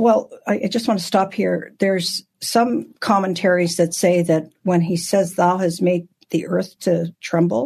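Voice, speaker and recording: A woman of medium pitch speaks at a fairly slow pace with hardly any pauses, somewhat breathy, her pitch varying in an ordinary way. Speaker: Bible teacher. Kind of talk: Bible study teaching. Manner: halting.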